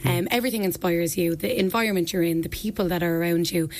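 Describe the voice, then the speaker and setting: Noticeable background noise sits behind a woman at medium pitch. She speaks at a very fast pace with ordinary pitch variation. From Ireland, County Wexford (Ferns). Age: 20s. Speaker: beauty pageant contestant and personal trainer. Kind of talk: radio interview. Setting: radio studio.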